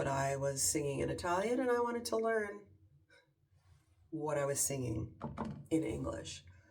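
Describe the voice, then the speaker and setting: There is audible room echo as a woman with a Canadian accent speaks at a moderate pace. Her pitch is very deep and low. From Canada. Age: 50s. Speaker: lifestyle vlogger. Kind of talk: casual chat. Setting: at home in her bathroom.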